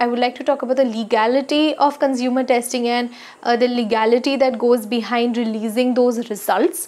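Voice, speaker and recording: At a moderate pace, a woman speaks. Her pitch is high, with ordinary pitch variation. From India. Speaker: skincare YouTuber. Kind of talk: casual vlog talk to camera. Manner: frequent hesitations (uh). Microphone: lapel.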